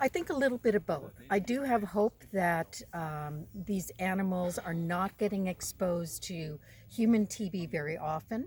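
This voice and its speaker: Somewhat breathy and with an American accent, a woman speaks at a moderate pace and medium pitch, with lively intonation and hardly any pauses. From United States. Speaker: wildlife veterinarian and researcher. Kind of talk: interview. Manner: hesitant, many fillers.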